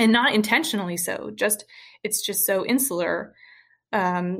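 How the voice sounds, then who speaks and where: In an ordinary speaking voice, a woman with an American accent talks at a moderate pace and medium pitch with fairly even intonation, on a very clean recording with a silent background. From US South, rural Western Kentucky. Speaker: healthcare data innovator, former molecular biologist. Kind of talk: interview.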